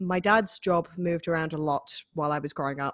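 A woman with a Manchester accent, fairly low in pitch, at a moderate pace with ordinary pitch variation, in a very clean recording with a silent background and a dry, close sound with no echo. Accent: northern English, Mancunian. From northern England, Manchester. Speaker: harpist. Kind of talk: casual interview chat.

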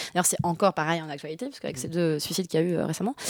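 A woman speaks with ordinary pitch variation. The recording is very clean, the background silent. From France, grew up in Bordeaux. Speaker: street artist and poet. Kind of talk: casual interview. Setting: radio studio.

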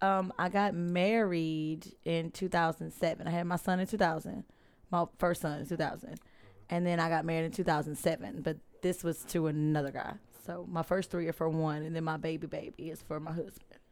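With an American accent, a woman speaks at a fairly quick pace. Her pitch is fairly low and varies in an ordinary way. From Louisiana (Alexandria area). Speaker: podcast cast member. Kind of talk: casual chat.

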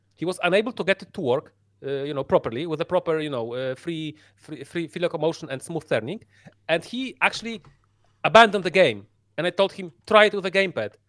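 A man with a Polish accent talks very fast at a high pitch, with lively intonation and big swings in loudness. The sound is dry and close, with no echo. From Poland. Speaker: VR gamer. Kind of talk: casual chat. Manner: halting.

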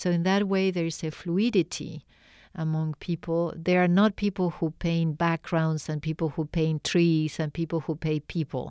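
Here a woman speaks with a Spanish accent in a fairly low pitch and a dark, mellow tone. The recording is very clean with a silent background and a dry, close sound with no echo. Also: moderate pace. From Argentina. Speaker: artist and art professor. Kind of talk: interview. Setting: radio studio.

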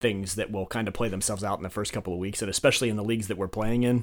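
A man is speaking. His pitch is medium for a man. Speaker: fantasy football league commissioner. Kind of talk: casual chat.

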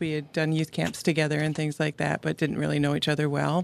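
With an American accent, a woman speaks in a very deep, low voice on a very clean recording with a silent background. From New York state. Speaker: guest sharing her story of grief. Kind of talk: interview, personal storytelling.

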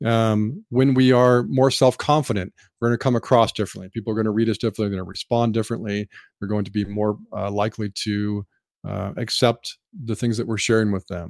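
This man has a normal speaking voice, fairly low in pitch, with fairly even intonation. He talks at a fairly quick pace, and the sound is dry and close with no echo. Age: 50s. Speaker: IT services executive. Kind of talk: interview.

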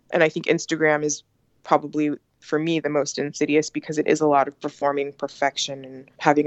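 A woman speaks at a fairly quick pace in a very deep, low pitch. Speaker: author. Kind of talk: interview.

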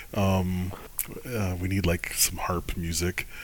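A man with an American accent and a very deep, low pitch speaks at a very slow pace in a monotone, flat intonation. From Michigan. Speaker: podcast host. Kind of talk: casual podcast chat.

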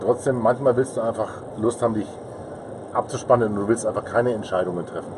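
A man with a medium pitch talks at a very fast pace, broken by long, frequent pauses. His intonation is fairly even, and noticeable background noise is present. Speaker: podcaster and marketing consultant. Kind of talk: casual interview. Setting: recording in a parked car at a trade fair.

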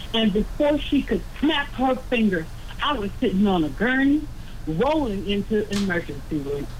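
A moderate pace and very wide pitch swings, set against noticeable background noise. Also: woman, fairly high pitch for a woman. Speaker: caller. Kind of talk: call-in comment.

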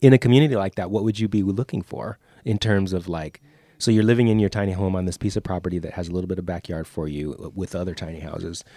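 A man with a very deep, low voice and a dark, mellow tone talks at a very fast pace with ordinary pitch variation, in a very clean, dry, close recording with a silent background and no echo. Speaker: podcast host. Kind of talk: casual podcast conversation. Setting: studio.

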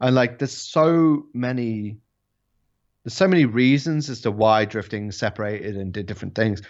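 A man speaks in an English accent at medium pitch. His intonation is lively and his pace moderate. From England. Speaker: drifting YouTuber. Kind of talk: casual chat. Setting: video call.

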